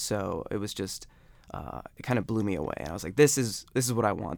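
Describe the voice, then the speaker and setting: With vocal fry and a fairly low pitch, a man speaks in an American accent in a very clean recording with a silent background. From Ohio (Akron), US Midwest. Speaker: sociologist and researcher. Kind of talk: interview. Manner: casual with frequent fillers.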